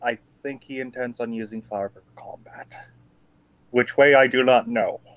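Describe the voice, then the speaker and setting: A man puts on a character voice at medium pitch. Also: moderate pace. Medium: actual play. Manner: solemn, measured.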